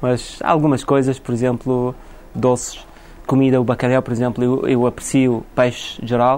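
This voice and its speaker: The delivery is monotone and flat. It moves at a moderate pace. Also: man, medium pitch for a man. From Iraq, later England. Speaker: shop owner. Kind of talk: interview.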